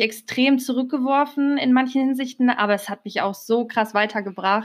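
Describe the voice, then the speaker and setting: The recording is very clean, with a silent background. A woman speaks at a moderate pace with fairly even intonation. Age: 20s. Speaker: podcast co-host, macramé artist. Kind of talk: casual chat.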